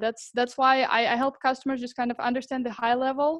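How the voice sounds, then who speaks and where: A woman is speaking. She has a Russian accent. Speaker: sales professional at a software startup. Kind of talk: sales demo pitch practice. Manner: hesitant, many fillers.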